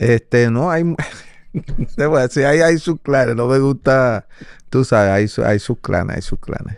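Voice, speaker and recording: A man speaks at a fairly slow pace with ordinary pitch variation, his dry sound carrying no echo over a quiet background. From Venezuela, Caracas. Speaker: salsa timbal percussionist; guest. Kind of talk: interview. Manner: halting, frequent repetitions. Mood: relaxed, sometimes laughing. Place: studio. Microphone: studio mic.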